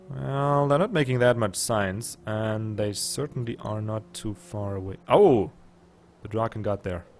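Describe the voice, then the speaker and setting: A man with a slight German accent speaks at a fairly low pitch with ordinary pitch variation. His pace is fairly slow, and background noise is noticeable. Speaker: gaming YouTuber. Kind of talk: let's play commentary. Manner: casual, thinking aloud.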